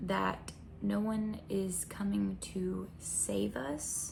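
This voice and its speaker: A soft-spoken woman talks with an American accent. Noticeable background noise and audible room echo fill the recording. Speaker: spiritual content creator. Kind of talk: intuitive reading monologue. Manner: hesitant.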